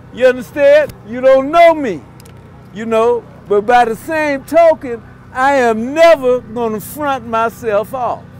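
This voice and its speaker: The speech moves at a fairly slow pace with ordinary pitch variation. Noticeable background noise is present. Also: man, extremely high pitch for a man. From Los Angeles, US. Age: 60s. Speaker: former activist, speaker. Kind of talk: speech at rally. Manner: emphatic.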